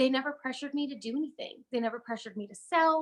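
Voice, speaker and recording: A woman speaks loudly. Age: 30s. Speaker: network marketing presenter. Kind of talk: sales pitch. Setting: live video stream. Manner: animated.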